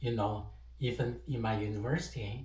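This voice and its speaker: A man's voice carries audible echo from the room. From China, autonomous region. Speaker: entrepreneur sharing English learning tips. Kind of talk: personal story. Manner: halting, many fillers.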